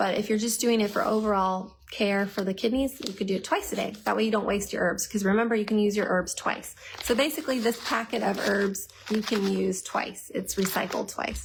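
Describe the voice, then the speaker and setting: A woman speaks at a fairly quick pace with ordinary pitch variation and very even loudness. Noticeable background noise is present. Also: medium pitch for a woman. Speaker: herbal health educator. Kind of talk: live Q&A stream. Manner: fast; animated.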